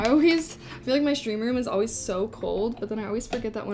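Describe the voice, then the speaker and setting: With music in the background, a woman talks in an American accent. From Southern California. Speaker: streamer. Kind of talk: casual, chatty. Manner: says "like" often.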